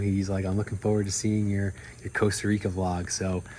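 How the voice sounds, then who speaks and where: The voice has a dark, mellow tone and is somewhat breathy. It moves at a fairly quick pace. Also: man. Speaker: airline pilot and travel vlogger. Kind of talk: casual vlog talk to camera. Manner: animated.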